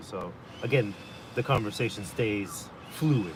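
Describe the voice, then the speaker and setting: A man with a Spanish accent speaks in a fairly low pitch, with audible room echo and noticeable background noise. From Los Angeles, US, Salvadoran family. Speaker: live streamer and NFT club host. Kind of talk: casual live stream chat. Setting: live stream with Zoom recording. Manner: hesitant, many fillers.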